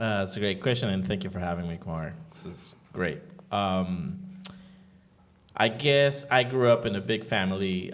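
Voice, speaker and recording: In a room with audible echo, a man with a Spanish accent speaks at a moderate pace in a fairly low voice with lively intonation. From Venezuela. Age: 40s. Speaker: sound engineer and producer. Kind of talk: interview. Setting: room with live audience.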